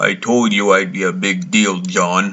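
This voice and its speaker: The put-on character voice keeps to a moderate tempo. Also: man, fairly low pitch for a man. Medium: voice reel. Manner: smug.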